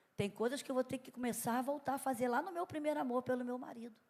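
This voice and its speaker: The speaker is a woman with a high voice. She sounds animated. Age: 60s. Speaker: pastor. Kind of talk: sermon. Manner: conversational, animated.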